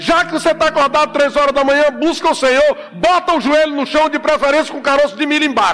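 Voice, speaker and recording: Animated and extremely high-pitched, a man races along at a very fast pace with hardly any pauses. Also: ordinary pitch variation. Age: 50s. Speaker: pastor. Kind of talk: sermon.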